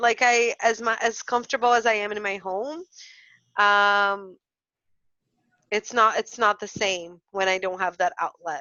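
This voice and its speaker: A woman with a Portuguese accent speaks at a fairly high pitch, leaving long, frequent pauses. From Brazil. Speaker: early childhood educator and podcast co-host. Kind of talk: casual chat. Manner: halting.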